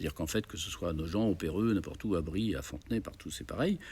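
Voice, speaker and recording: On a very clean recording with a silent background, a man talks with lively intonation and vocal fry. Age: 70s. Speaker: festival organizer, former radio and TV program director. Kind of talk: interview. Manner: hesitant, many fillers.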